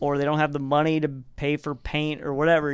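With an American accent, the speaker goes at a fairly quick pace in monotone, flat intonation. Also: man. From US South, Arkansas. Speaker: skydiver. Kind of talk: casual chat.

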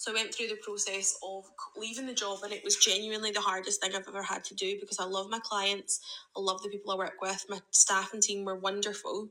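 Over noticeable background noise, a woman with a Scottish accent talks at a very fast pace with hardly any pauses, using monotone, flat intonation at a medium pitch. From Scotland. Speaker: listener sending a voice memo. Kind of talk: testimony. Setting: recorded voice message.

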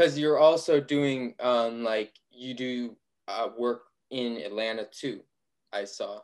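Speaking very slowly, a man with an American accent uses medium pitch and ordinary pitch variation. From Ohio. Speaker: podcast interviewer. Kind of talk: casual interview.

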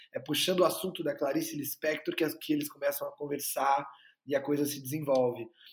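Talking very fast, a man uses a fairly high, somewhat breathy voice. His intonation stays flat and monotone. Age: 20s. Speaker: actor and filmmaker. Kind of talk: interview.

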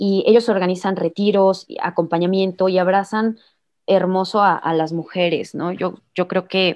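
Against a quiet background, a woman at medium pitch talks at a very slow pace with flat, monotone intonation. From Mexico, Irapuato, Guanajuato (Bajío). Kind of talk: casual interview.

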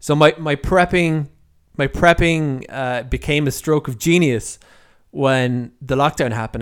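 Speaking with an Irish accent, a man uses a fairly high pitch and lively intonation at a fairly slow pace. The recording is very clean, with a silent background. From Ireland. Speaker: podcast host and freelance writer. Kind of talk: solo podcast monologue. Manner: halting, with many repeats and fillers.

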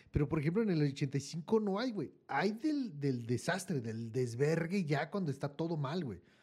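A man with a Mexican accent speaks at a fairly slow pace, with hardly any pauses. His fairly high voice is somewhat breathy, with lively intonation. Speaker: podcast co-host. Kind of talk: casual chat.

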